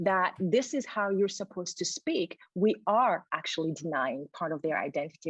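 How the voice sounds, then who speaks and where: With a non-native accent, a woman talks at a fairly slow pace at medium pitch and with lively intonation. The sound is dry and close, with no echo. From Burundi. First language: not English. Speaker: educator and diversity workshop leader. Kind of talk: interview conversation.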